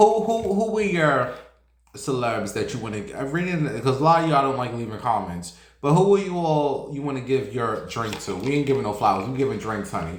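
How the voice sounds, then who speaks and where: An animated, somewhat breathy man with a fairly high pitch, very wide pitch swings and a fairly quick pace, in audible room echo. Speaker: celebrity gossip streamer. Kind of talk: casual chat.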